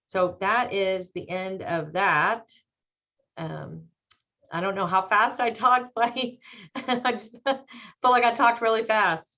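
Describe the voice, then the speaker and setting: Very slowly, a woman speaks at a fairly high pitch with a bright, sharp tone. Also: ordinary pitch variation. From Texas, Dallas-Arlington area. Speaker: panelist. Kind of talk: webinar presentation.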